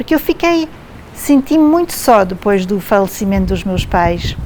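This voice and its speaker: With noticeable background noise, a woman speaks fairly slowly at a fairly high pitch. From Quebec, Montreal. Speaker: theatre artist. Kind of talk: interview.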